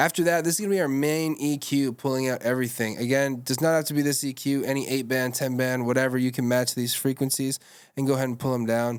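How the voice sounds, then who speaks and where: A man talks at a very fast pace with hardly any pauses, on a very clean recording with a silent background. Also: medium pitch for a man, fairly even intonation. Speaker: music producer and rapper. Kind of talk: tutorial. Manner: casual.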